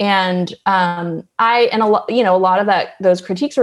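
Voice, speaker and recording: A woman talks at a medium pitch. Her pitch varies in an ordinary way. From US West Coast, Berkeley, California. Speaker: journalist and author. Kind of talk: interview.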